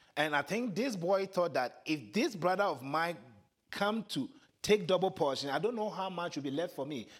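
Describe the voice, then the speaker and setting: With a Ghanaian accent, this voice moves at a moderate pace with lively intonation on a very clean recording against a silent background. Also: man, high pitch for a man. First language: Twi. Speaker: preacher. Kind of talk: sermon. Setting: church.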